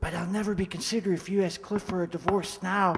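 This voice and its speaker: A man puts on a character voice, talking very fast in a high, flat, monotone pitch. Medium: old radio play. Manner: hushed, nervous.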